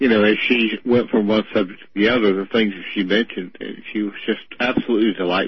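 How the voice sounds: A man talks at a fast pace with fairly low pitch. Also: fairly even intonation.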